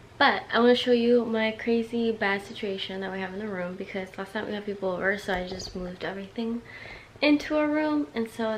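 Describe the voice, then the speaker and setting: Over noticeable background noise, a woman speaks at a fairly quick pace in an upbeat tone, her fairly high voice showing ordinary pitch variation. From US West Coast, San Francisco Bay Area. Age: 20s. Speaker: lifestyle vlogger. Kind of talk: casual vlog talk to camera. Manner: chatty, upbeat.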